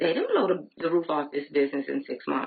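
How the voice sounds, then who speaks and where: Her intonation moves in a lively way. The woman has an American accent. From Flint, Michigan. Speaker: direct sales beauty consultant. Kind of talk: live training talk. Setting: Facebook Live video.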